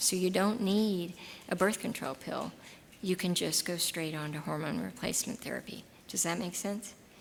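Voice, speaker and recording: A woman's fairly low voice with an American accent, with audible room echo. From Texas. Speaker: gynecologist giving a talk. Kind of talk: lecture with audience Q&A.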